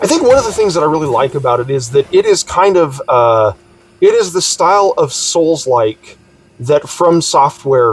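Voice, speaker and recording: A loud man with a fairly high pitch and very wide pitch swings, over noticeable background noise. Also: moderate pace. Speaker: gaming YouTuber. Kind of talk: casual video blog. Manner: halting with many fillers.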